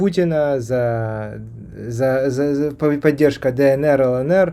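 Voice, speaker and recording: A man speaks very slowly with a Kharkiv accent. His voice sits at a medium pitch, dark and mellow in tone, with ordinary pitch variation. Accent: Kharkiv Russian. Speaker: doctor, YouTube host. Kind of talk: interview conversation.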